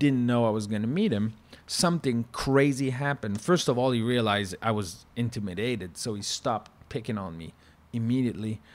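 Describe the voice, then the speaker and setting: A man speaks in an animated tone at a fairly quick pace. His pitch variation is ordinary. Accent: French Canadian. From Quebec. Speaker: former chef. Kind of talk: casual chat.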